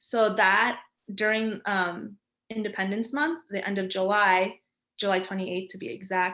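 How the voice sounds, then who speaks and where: With a New York accent, a woman talks at a moderate pace and medium pitch in a bright, sharp tone. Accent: New York American English. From New York, US. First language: Spanish. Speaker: graphic designer. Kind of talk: interview. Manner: energetic.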